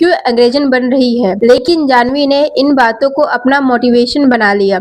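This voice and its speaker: The woman speaks at a high pitch. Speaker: news presenter. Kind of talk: news story narration.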